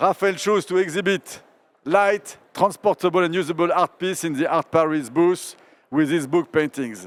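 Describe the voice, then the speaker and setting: Recorded very clean against a silent background, dry and close with no echo, a man with a French accent talks at a moderate pace in a high pitch with ordinary pitch variation. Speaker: art curator, moderator. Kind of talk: public onstage interview. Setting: stage with audience at art fair.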